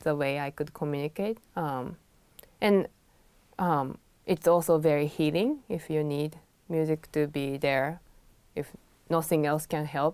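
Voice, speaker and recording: Fairly slow and fairly even in intonation, a woman speaks with a very deep, low pitch. The recording is very clean, the background silent. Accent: Japanese. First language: Japanese. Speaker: pianist and music teacher. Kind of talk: interview.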